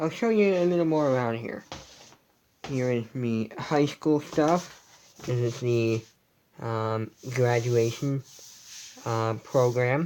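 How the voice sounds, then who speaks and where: At a very slow pace with long, frequent pauses, the speech shows ordinary pitch variation. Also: man, medium pitch for a man. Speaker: vlogger. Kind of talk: casual room tour livestream. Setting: at home, in bedroom. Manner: quiet, hushed.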